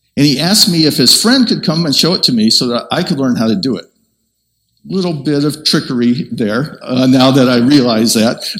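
Audible room echo carries a man's fairly high voice as he talks at a fairly quick pace with lively intonation. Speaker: preacher. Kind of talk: sermon.

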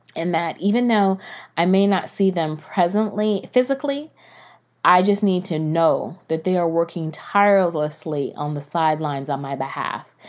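Captured in a very clean recording with a silent background, the speech has lively intonation and a moderate pace. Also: woman, fairly low pitch for a woman. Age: 40s. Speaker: podcast host. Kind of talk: casual monologue.

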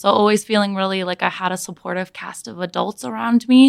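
On a very clean recording with a silent background, a woman with a Midwestern American accent talks at a fairly quick pace with ordinary pitch variation, the sound dry and close with no echo. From US Midwest, Michigan (Ann Arbor). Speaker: elementary school teacher. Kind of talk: casual chat.

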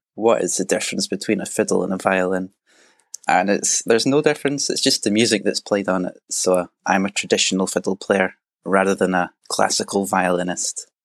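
A man with a west of Scotland accent talks at a fairly quick pace, his pitch fairly low with ordinary variation. The sound is dry and close, with no echo. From Scotland, Argyll near Loch Lomond. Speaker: traditional fiddle player. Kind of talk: interview.

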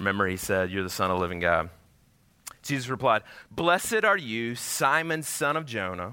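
The speech has an animated tone and very wide pitch swings. The pace is moderate. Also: man, medium pitch for a man. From Georgia. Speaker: pastor. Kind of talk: sermon. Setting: church.

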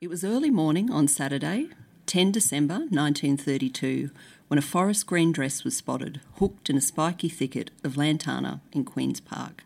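On a very clean recording with a silent background, a woman with an Australian accent speaks at a moderate pace in a very deep, low pitch, with lively intonation and vocal fry. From Brisbane, Australia. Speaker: author and sociologist. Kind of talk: interview; reading aloud.

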